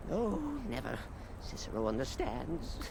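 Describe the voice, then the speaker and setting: Amid loud background noise, a man puts on a sing-song character voice. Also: moderate pace. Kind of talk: theatrical madness. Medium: game stream. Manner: erratic, singsong, third-person self reference.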